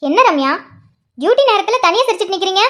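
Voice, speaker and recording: In a put-on character voice, a woman speaks at a moderate pace, squeaky and extremely high-pitched, with lively intonation. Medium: cartoon.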